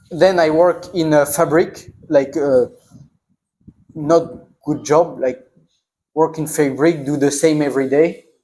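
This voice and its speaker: In a French accent, a man speaks at a very slow pace with a fairly high pitch. His intonation is fairly even, and he takes long, frequent pauses. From northern France. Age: 20s. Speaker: traveler. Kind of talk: Q&A conversation with students. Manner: halting non-native speech.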